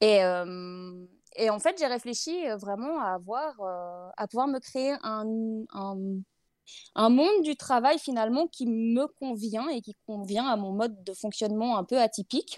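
At a very slow pace, a woman speaks with a fairly high pitch and lively intonation on a very clean recording with a silent background and a dry, close sound with no echo. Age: 30s. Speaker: product and portrait photographer. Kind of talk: casual interview. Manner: hesitant, many fillers.

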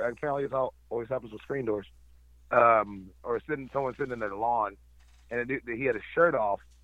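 A man talks in an ordinary speaking voice. His pace is fairly quick, with ordinary pitch variation. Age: 30s. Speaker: drone operator, podcast guest. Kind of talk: casual chat.

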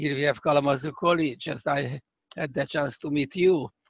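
A fairly high male voice with a strong Hungarian accent and fairly even intonation. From Hungary (Budapest). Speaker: scientist, computational neuroscientist. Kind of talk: interview. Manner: halting.

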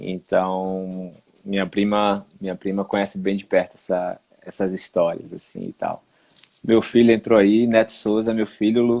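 A man's dark, mellow voice, fairly low in pitch, at a fairly slow pace with monotone, flat intonation. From Recife, Brazil. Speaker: live stream host. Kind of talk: casual live stream chat. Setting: at home, online live stream.

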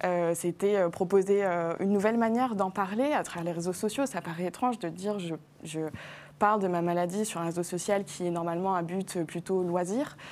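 An unremarkable speaking voice from a woman, medium in pitch, at a moderate pace with ordinary pitch variation, on a very clean recording with a silent background. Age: 20s. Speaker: diabetes influencer. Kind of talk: TV health talk show interview. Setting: TV studio.

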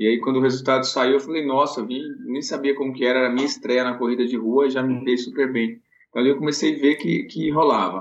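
This man speaks at a very fast pace. His pitch is medium and his intonation fairly even. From Bahia, Brazil (Vitória da Conquista). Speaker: elite runner and running coach. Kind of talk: casual interview.

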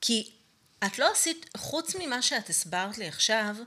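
A woman speaks at a fairly slow pace in a bright, sharp tone. The recording is very clean, with a silent background. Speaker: podcast co-host, coach. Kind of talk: casual chat.

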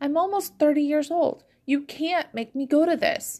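Using a put-on character voice, a woman speaks at a moderate pace and high pitch with fairly even intonation. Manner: frustrated tearful.

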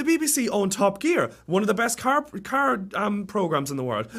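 The tone is animated, with very wide pitch swings. Delivery moves at a moderate pace. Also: man. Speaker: student guest. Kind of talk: casual chat. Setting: studio.

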